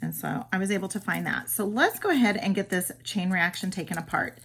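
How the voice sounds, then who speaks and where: A woman's medium-pitched voice with vocal fry at a moderate pace. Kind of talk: casual unboxing and craft tutorial. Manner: animated, gushing.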